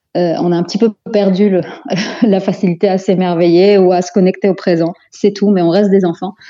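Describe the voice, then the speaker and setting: Speaking at a fairly quick pace, a woman with a dark, mellow tone and a medium pitch keeps her intonation monotone and flat. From Belgium, Antwerp, of Moroccan descent. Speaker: psychopedagogue, life coach. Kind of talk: interview.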